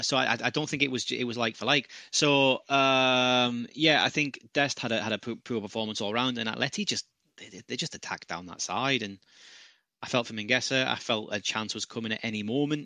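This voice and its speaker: Talking at a fairly quick pace with a British accent, a man has a bright, sharp tone and ordinary pitch variation, recorded dry and close with no echo. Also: medium pitch for a man. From UK. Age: 30s. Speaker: football pundit. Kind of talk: casual chat.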